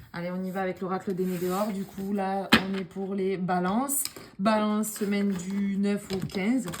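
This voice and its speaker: With noticeable background noise behind her, a woman of medium pitch speaks fairly slowly in a monotone, flat intonation. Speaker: tarot card reader. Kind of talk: tarot reading video.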